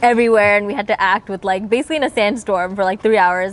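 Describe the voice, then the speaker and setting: Her intonation stays fairly even. The woman's pitch sits in the medium range. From India, Telugu/Tamil-speaking family. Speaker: actor. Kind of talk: casual chat.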